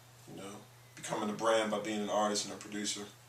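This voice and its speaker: With an American accent, a man talks at a very fast pace in a monotone, flat delivery, with noticeable background noise and audible room echo. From Maryland, US (Baltimore/Annapolis). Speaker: musician and producer. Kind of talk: interview.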